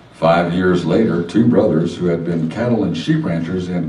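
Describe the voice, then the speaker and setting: A man's intonation is lively, and noticeable background noise runs beneath his speech. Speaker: narrator in an old time radio drama. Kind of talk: historical narration.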